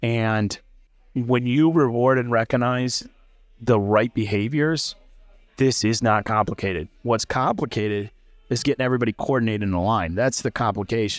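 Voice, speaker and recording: In an American accent, a normal speaking voice moves at a moderate pace with ordinary pitch variation over a very clean recording and a silent background. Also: man, medium pitch for a man. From US Midwest, central Illinois. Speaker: startup founder, former HR leader. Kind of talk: casual interview over beers. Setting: bar.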